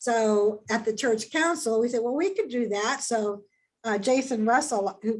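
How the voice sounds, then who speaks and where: A woman talks at a moderate pace in a fairly high pitch with ordinary pitch variation. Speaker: church member presenting health ministry. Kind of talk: webinar presentation. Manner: halting, many repetitions.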